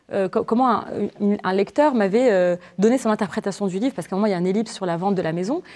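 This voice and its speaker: With a Moroccan accent, a woman speaks at medium pitch in a dark, mellow tone with lively intonation. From Morocco. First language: Moroccan Arabic (speaking French). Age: 20s. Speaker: novelist. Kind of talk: literary interview before students. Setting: university library event with audience. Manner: halting, many repetitions and fillers.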